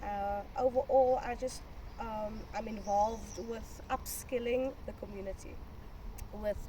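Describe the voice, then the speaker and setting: Fairly high-pitched female speech, fairly slow in pace, with ordinary variation in pitch and noticeable noise in the background. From South Africa, Cape Town (Eerste River). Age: 20s. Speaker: community activist. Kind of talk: interview monologue. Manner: hesitant, many fillers.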